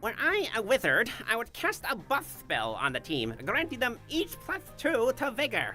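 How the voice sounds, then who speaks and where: A man puts on a nasal character voice at an extremely high pitch, speaking at a moderate pace. Clear music plays in the background. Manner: pompous, geeky.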